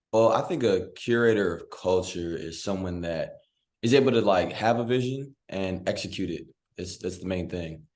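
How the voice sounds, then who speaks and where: A man with an American accent, very deep and low in pitch, with ordinary pitch variation, a moderate pace and audible room echo. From Virginia, US. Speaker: filmmaker. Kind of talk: podcast panel discussion.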